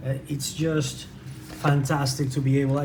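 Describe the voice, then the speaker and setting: Audible room echo and noticeable background noise surround a man speaking at a moderate pace with a Spanish accent. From Venezuela. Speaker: tabletop game reviewer. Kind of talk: unboxing review. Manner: halting.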